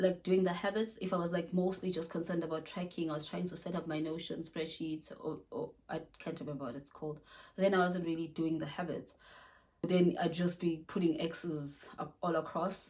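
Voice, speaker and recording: Somewhat breathy, a woman speaks with a fairly low pitch and fairly even intonation. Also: moderate pace. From South Africa. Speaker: wellness vlogger. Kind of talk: casual vlog talk to camera. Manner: casual, with frequent fillers and self-restarts.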